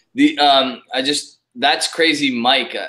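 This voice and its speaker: A man speaks with an Ontario accent. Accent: Canadian English, Ontario. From Canada. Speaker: whisky YouTuber. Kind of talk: casual chat.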